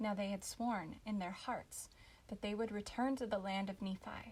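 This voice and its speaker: A woman talks at a fairly slow pace in a somewhat breathy voice with fairly even intonation. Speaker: audiobook narrator. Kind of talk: scripture audiobook reading. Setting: home recording, non-professional microphone. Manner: expressive, storytelling.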